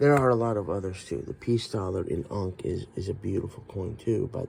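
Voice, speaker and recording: A man's fairly low, somewhat breathy voice at a fairly quick pace, with ordinary pitch variation. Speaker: coin collector video host. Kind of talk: show-and-tell collection video. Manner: casual, halting.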